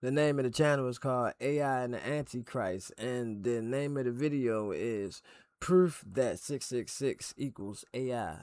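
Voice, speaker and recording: On a very clean recording with a silent background, a man talks at a medium pitch and moderate pace with ordinary pitch variation. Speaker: reaction streamer. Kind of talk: casual video intro.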